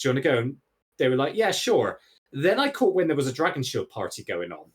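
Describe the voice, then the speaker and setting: Speaking at a very fast pace with a Bristol accent, a man uses lively intonation and a fairly high pitch. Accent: Bristolian English. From England, Bristol. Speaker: podcast guest, gaming streamer. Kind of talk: casual chat. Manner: animated.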